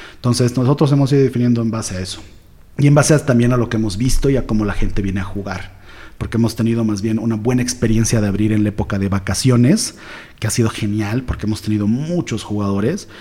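Speaking at a very fast pace, a man has a somewhat breathy, dark, mellow tone, medium pitch and ordinary pitch variation. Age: 40s. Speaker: entrepreneur, escape room owner. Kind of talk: interview.

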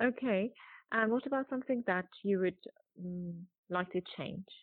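At a fairly slow pace, a woman speaks with long, frequent pauses. Her pitch is medium with ordinary variation. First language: Persian. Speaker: podcast host. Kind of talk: interview.

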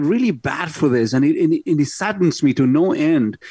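A man speaks at a moderate pace in an ordinary speaking voice, pitched fairly high for a man. His intonation is lively, and the background is quiet. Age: 50s. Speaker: radio host and car dealer. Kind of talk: casual radio talk show. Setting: studio.

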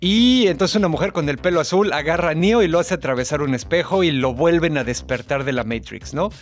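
Music plays in the background as a man with a Mexican accent talks at a fairly quick pace in a fairly high voice, with lively intonation and hardly any pauses. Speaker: podcast co-host. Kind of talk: casual chat.

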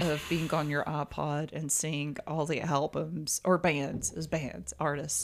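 Speaking with a Southern US accent, a woman has a very deep, low pitch and a fairly slow pace. The recording is very clean, the background silent. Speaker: podcast co-host. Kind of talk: casual chat.

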